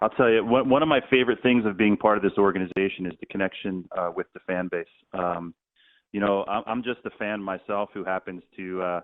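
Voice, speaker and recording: A man talks with an ordinary speaking voice. His pitch is fairly low, with ordinary variation. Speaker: stadium public address announcer; U.S. history teacher. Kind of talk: interview answer.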